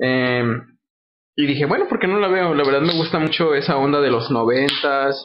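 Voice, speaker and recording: An ordinary speaking voice at a moderate pace with ordinary pitch variation. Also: man. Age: 20s. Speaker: film podcast guest. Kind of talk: casual chat.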